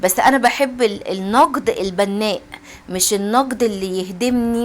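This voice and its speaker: A woman with a fairly high pitch speaks at a moderate pace and ordinary pitch variation while noticeable background noise plays. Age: middle-aged. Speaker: home cooking and routine vlogger. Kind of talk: casual chat to viewers. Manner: halting, repeating words.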